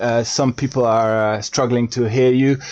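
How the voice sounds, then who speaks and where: At a fairly slow pace, a man talks in a medium pitch with a dark, mellow tone. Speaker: football podcast host. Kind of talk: live stream chat. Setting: live online stream with guests. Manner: loud, voice louder than guests.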